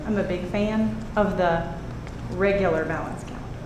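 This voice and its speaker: A woman with an American accent and ordinary pitch variation, amid noticeable background noise and audible room echo. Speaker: teacher. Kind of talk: public comment at a meeting. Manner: animated.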